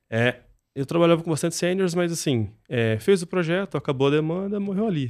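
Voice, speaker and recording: A man talks at a fairly quick pace with very wide pitch swings. The recording is very clean, with a silent background. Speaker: software company founder. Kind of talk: casual interview.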